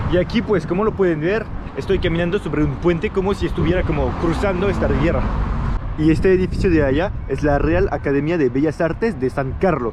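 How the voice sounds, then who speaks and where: A man talks at a fairly high pitch with ordinary pitch variation. Noticeable background noise sits behind him. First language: French (speaking Spanish). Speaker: travel vlogger. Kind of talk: travel vlog narration. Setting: outdoors walking through city. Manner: casual, hesitant with repetitions.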